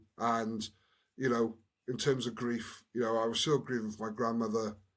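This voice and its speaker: A man at medium pitch with monotone, flat intonation and a fairly quick pace. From Wales, Newport. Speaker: former rugby player, community worker. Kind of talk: podcast interview, personal story. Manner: halting, many repeated words.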